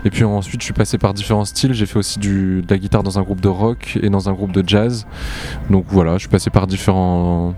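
Over music in the background, a man with a fairly low pitch talks at a fairly quick pace with fairly even intonation. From southern France, Montpellier. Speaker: electro-pop musician. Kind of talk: interview. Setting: outdoor music festival.

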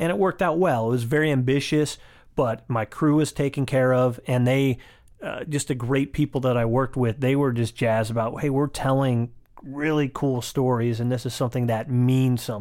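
On a very clean recording with a silent background, a man uses a normal speaking voice at a medium pitch, a moderate pace and fairly even intonation. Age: 40s. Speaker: podcast host and commercial director. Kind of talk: casual interview chat.

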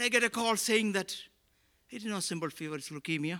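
A man speaks at a very fast pace in a raised, projected voice. His tone is bright and sharp. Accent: Keralan. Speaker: pastor. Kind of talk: sermon. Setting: church. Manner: preaching with rhetorical repeated questions, impassioned, building emphasis.

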